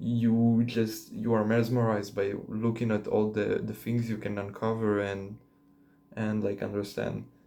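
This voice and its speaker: A man with a non-native accent speaks at a fairly slow pace with a fairly low pitch, a dark, mellow tone and monotone, flat intonation, with audible room echo. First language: not English. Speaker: vlogger. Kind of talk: casual monologue to camera. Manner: hesitant, many fillers.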